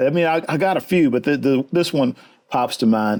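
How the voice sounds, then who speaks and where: With a Texan accent, a man talks in a fairly high pitch with lively intonation. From Texas, Houston. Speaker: fly fishing guide. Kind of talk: interview.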